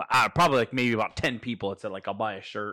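Over a silent background on a very clean recording, a man speaks at medium pitch with a bright, sharp tone. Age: 30s. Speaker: podcast host. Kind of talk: casual interview.

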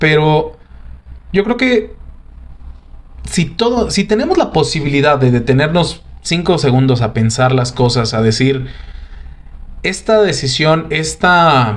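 Speaking at a very slow pace with long, frequent pauses, a man with a fairly high pitch makes very wide pitch swings while keeping his loudness very even. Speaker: podcast host. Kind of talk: casual chat.

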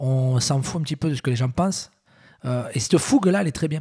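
Somewhat breathy and dark, mellow in tone, a man speaks at a fairly quick pace in a dry, close recording with no echo. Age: 40s. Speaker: entrepreneur. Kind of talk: casual interview.

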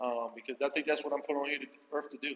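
Fairly quick and with fairly even intonation, a man with an American accent talks in an unremarkable speaking voice. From US Northeast, Philadelphia. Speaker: high school basketball coach. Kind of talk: interview.

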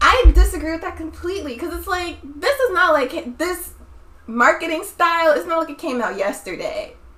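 Over noticeable background noise, a woman uses a raised, projected voice with an extremely high pitch, very wide pitch swings, big swings in loudness and a moderate pace. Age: 20s. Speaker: podcast host. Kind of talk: casual chat.

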